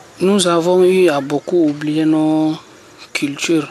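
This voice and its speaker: Against noticeable background noise, a man with a high pitch speaks at a very slow pace with fairly even intonation. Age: young. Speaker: youth association leader. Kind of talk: radio interview. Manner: halting.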